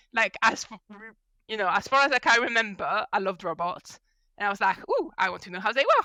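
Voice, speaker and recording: A woman's fairly high, bright, sharp voice with a French accent, at a moderate pace, in a dry, close sound with no echo. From France. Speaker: mechanical engineer and mentoring consultant. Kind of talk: podcast interview. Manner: animated.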